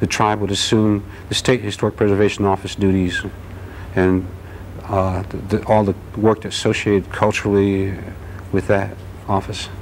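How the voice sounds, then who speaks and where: A man with an American accent, fairly low in pitch, monotone and flat, at a moderate pace with long, frequent pauses over light background noise. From Newark, New Jersey; New Jersey. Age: 40s. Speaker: anthropology graduate student; interview guest. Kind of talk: interview. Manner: halting. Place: studio. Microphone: lapel.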